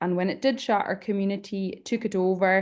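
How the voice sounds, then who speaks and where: The speaker has a Hebridean accent. The pace is moderate and the intonation fairly even. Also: woman. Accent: Hebridean Scottish. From Isle of Lewis, Scotland. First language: Scottish Gaelic. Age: 20s. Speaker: panelist, community worker. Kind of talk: panel presentation.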